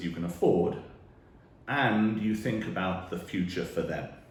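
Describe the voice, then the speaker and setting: Somewhat breathy and very deep in pitch, a man with a British accent speaks at a fairly slow pace with ordinary pitch variation in audible room echo. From UK. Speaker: financial planner. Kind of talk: direct-to-camera talk.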